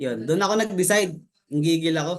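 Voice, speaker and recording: A man talking at a fairly quick pace with lively intonation. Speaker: network marketing member, former overseas worker. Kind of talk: testimony. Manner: halting.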